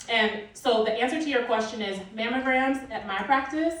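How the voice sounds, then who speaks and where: With an American accent and lively intonation, a woman speaks in a room with audible echo. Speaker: physician speaking at a conference. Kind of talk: conference talk Q&A. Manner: loud.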